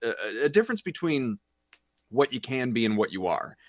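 Recorded very clean with a silent background and a dry, close sound with no echo, a man speaks in a plain, everyday voice with ordinary pitch variation. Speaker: radio sports reporter. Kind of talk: sports talk, analysis. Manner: conversational, rapid, opinionated.

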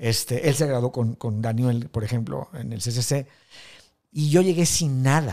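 On a very clean recording with a silent background, a man speaks at a fairly slow pace with a dark, mellow tone, medium pitch and ordinary pitch variation. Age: 50s. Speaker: filmmaker. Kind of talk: interview.

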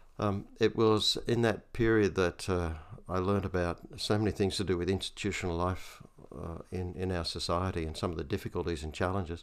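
On a very clean recording with a silent background, a man speaks in an Australian accent. His pitch is very deep and low, his pace fairly quick, and his intonation fairly even. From Australia, Hunter Valley, New South Wales. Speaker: retired bishop and theologian. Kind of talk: interview conversation. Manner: hesitant, many fillers.

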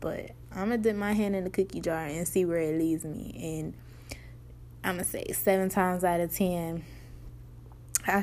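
With audible room echo, a woman with a fairly low voice speaks at a moderate pace with fairly even intonation and long, frequent pauses. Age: 20s. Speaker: podcast host. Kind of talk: solo casual monologue. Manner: conversational, filler-heavy.

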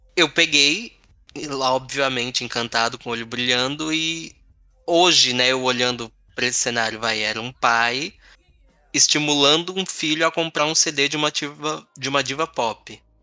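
Over a silent background, a man talks at a moderate pace in a medium pitch with ordinary variation. The recording is very clean and his tone is bright and sharp. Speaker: podcast host. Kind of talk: casual chat.

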